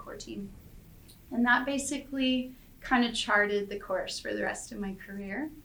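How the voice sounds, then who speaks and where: A woman in a Canadian accent, high in pitch with lively intonation, at a moderate pace amid audible room echo. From Canada, Calgary. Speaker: airline software services director. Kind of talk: interview.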